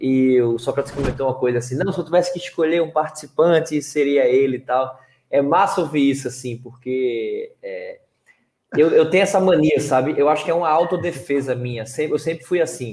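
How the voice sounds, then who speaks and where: In a Pernambuco accent, a man talks at a fairly quick pace with a fairly high pitch. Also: ordinary pitch variation. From Recife, Pernambuco, Brazil. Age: young. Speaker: reality show contestant and speaker. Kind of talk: casual interview.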